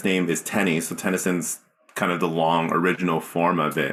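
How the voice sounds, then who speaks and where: A man with a Canadian accent at a moderate pace, on a very clean recording with a silent background. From Canada, Mississauga. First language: Cantonese. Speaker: singer-songwriter. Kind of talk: interview.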